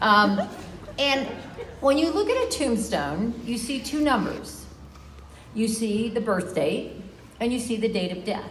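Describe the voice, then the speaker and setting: A woman speaks at a fairly slow pace with lively intonation and long, frequent pauses, over noticeable background noise and audible room echo. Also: fairly high pitch for a woman. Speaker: lactation educator honored at retirement event. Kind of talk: farewell speech.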